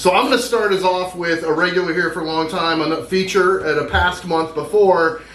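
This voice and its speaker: With hardly any pauses, a man speaks at a moderate pace and high pitch over noticeable background noise. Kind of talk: poetry open mic host welcome. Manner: casual, upbeat.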